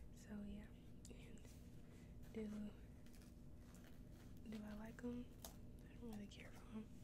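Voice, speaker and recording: Through loud background noise, a woman's speech comes at a fairly slow pace. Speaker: ASMR creator. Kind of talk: ASMR mukbang, casual talk to camera while eating. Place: home room. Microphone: studio mic.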